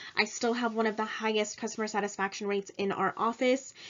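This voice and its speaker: With a stern tone, a woman of fairly high pitch speaks at a fairly quick pace and ordinary pitch variation. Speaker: graduate student and insurance claims adjuster. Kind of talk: recorded class presentation. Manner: sometimes sounds stern; hesitant with fillers.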